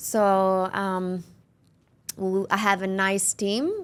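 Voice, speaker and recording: In a very clean recording with a silent background, a woman with an Italian accent speaks at a medium pitch with fairly even intonation. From Italy, near Milan. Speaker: real estate agency owner. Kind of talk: interview. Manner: halting.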